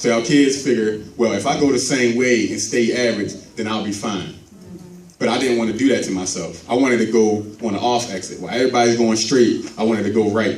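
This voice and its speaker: Over noticeable background noise and audible room echo, a man speaks at a very fast pace with a medium pitch and ordinary pitch variation. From Baltimore, Maryland. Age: 30s. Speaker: motivational speaker. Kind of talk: church speech. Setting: church.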